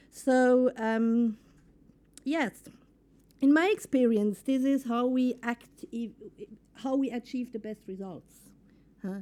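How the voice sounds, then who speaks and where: Very slow and marked by long, frequent pauses, a woman's high-pitched voice with a dark, mellow tone shows ordinary pitch variation and big swings in loudness. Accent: non-native. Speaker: entrepreneur and workshop speaker. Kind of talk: conference workshop.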